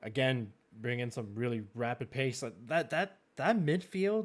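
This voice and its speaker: On a very clean recording with a silent background, a man with a medium-pitched voice and lively intonation speaks at a fairly slow pace. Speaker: esports racing league host. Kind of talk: live-streamed draft commentary. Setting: live stream with chat. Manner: halting, many fillers and repetitions.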